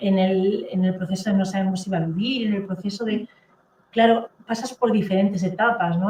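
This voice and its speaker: A woman at a moderate pace, somewhat breathy, with a Catalan accent. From Catalonia, Spain. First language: Catalan (speaking Spanish). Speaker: therapist and author. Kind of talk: interview testimony.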